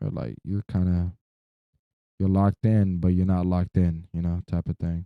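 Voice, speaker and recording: A man with a very deep, low pitch and a dark, mellow tone speaks at a moderate pace with fairly even intonation, the sound dry and close with no echo. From Florida. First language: not English. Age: 20s. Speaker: streamer. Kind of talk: casual livestream monologue. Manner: rambling, halting.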